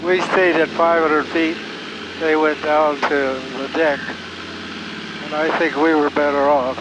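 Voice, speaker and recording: Over noticeable background noise, a man with a fairly high pitch speaks in a monotone, flat intonation at a fairly slow pace, with a dry sound and no echo. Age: 90s; old. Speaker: war veteran pilot. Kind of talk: interview answer. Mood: calm, matter-of-fact. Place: plane. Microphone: headset.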